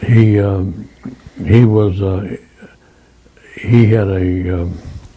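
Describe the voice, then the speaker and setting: Speaking very slowly with an American accent, a man uses a fairly low pitch and ordinary pitch variation, with audible room echo and noticeable background noise. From US Midwest, Quincy, Illinois. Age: 90s. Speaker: war veteran. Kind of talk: oral history interview. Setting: conference room. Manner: halting.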